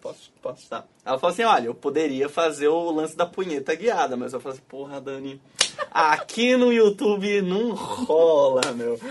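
A man talks at a moderate pace and fairly high pitch, with lively intonation. His loudness swings widely, and background noise is noticeable. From Florianópolis, Brazil. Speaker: podcast host. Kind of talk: casual chat on a live stream.

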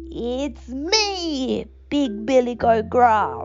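A woman puts on a character voice, pitched high. Background noise is clearly audible.

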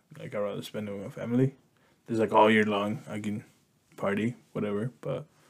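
A man with a plain, everyday voice talks at a fairly quick pace and a fairly low pitch. His intonation is fairly even, while his loudness swings widely. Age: 30s. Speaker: podcast co-host. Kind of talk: casual bilingual chat.

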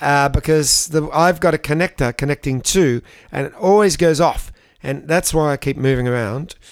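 Fairly high in pitch, this man speaks with an Australian accent and ordinary pitch variation. The sound is dry and close, with no echo. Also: moderate pace. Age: 60s. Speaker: podcast co-host. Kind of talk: casual comedic chat.

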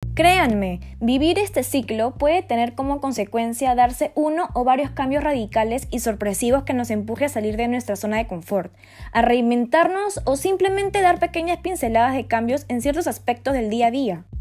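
Lively intonation at a moderate pace with hardly any pauses. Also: woman, high pitch for a woman. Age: 20s. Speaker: podcast host. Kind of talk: monologue podcast. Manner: casual.

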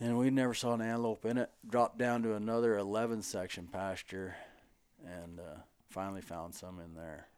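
A man with an American accent talks at a fairly quick pace in a fairly low pitch, with ordinary pitch variation and big swings in loudness. It is an unremarkable speaking voice on a very clean recording with a silent background. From Montana, US. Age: 50s. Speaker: podcast host, rancher. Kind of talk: casual chat. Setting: at a table in a friend's home.

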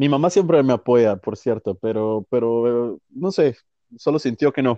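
A man's dark, mellow voice at medium pitch, fairly slow, dry and close with no echo, against a quiet background. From Guatemala. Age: 20s. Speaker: violinist. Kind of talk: interview. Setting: phone call.

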